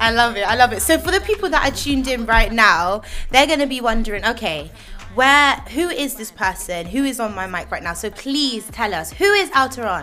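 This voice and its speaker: Music plays in the background while a woman with a West Country accent talks at a fairly quick pace. Her fairly high voice is animated in tone, with very wide pitch swings. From Bristol, England. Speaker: radio host. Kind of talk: radio interview. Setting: radio studio.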